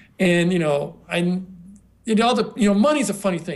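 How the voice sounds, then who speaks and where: Speaking at a fairly quick pace with ordinary pitch variation, a man with an American accent is heard amid audible room echo. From US West, southwest Colorado. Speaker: online marketing entrepreneur. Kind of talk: interview. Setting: video call.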